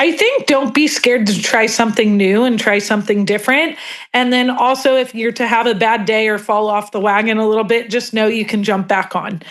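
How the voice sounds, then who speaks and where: A woman with an ordinary speaking voice talks at a fairly quick pace with hardly any pauses. Her pitch is fairly high, her intonation fairly even, and her loudness very even. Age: 30s. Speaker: client, school counselor. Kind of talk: testimony.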